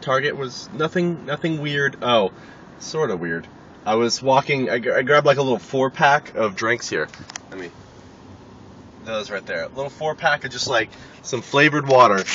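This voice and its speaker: At a moderate pace with long, frequent pauses, the voice shows big swings in loudness and ordinary pitch variation over noticeable background noise. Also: man, medium pitch for a man. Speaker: vlogger. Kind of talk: casual vlog monologue.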